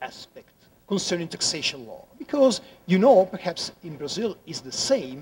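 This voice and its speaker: High male voice, moderate pace, pitch swinging very widely. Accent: Italian. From Italy. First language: Italian. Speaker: law professor. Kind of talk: conference talk. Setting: conference room with audience. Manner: halting, frequent repetitions.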